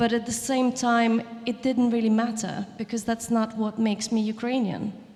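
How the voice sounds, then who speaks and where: Against noticeable background noise, a woman talks at a moderate pace with a fairly high pitch, very even loudness and monotone, flat intonation. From southern Ukraine. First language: Russian. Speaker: chef and writer. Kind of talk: panel discussion. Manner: halting, many restarts.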